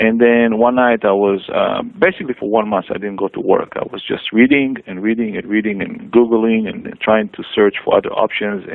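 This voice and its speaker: A man speaks with an Israeli accent. There is noticeable background noise. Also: fairly quick pace. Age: 40s. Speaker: cancer patient. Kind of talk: testimony. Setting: radio show. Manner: hesitant, many fillers.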